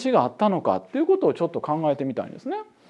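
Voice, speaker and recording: A man is speaking. The background is quiet. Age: 40s. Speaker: professor. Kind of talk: lecture. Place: studio. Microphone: lapel.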